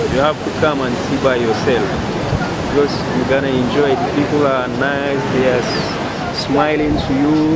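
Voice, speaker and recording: A man speaks at a moderate pace over loud background noise, with dry sound and no echo. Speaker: guide. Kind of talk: casual tour narration. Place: beach. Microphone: phone near.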